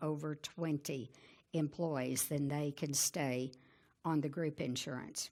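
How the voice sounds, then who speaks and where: A woman with a Southern US accent speaks in a very deep, low pitch and a dark, mellow tone, at a fairly slow pace with fairly even intonation and very even loudness, in a very clean recording with a silent background. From Arkansas. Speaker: Medicare insurance advisor and radio host. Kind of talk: presentation. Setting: conference talk with audience.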